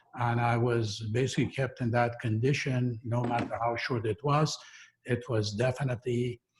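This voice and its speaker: A man speaks at a medium pitch and a moderate pace, sounding somewhat breathy. His loudness stays very even and his intonation is monotone and flat. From western Iran, Kurdish. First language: Kurdish. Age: 60s. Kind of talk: personal testimony in a talk. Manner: halting, many fillers.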